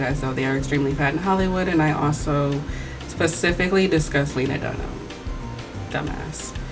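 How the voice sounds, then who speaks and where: Over background music and audible room echo, a woman talks very fast in an animated tone. Her voice is very deep and low. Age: 20s. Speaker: video essayist. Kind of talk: commentary video, reading comments aloud and responding.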